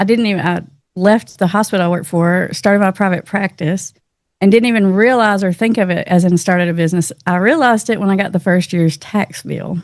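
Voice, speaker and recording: A woman with a Southern US accent, medium pitch and ordinary pitch variation, at a fairly quick pace. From Tennessee, US South. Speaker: addiction counselor. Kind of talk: casual interview.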